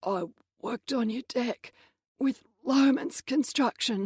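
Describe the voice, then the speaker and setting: A woman puts on a raspy character voice at a high pitch. She goes at a fairly slow pace, and the sound is dry and close with no echo. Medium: read story.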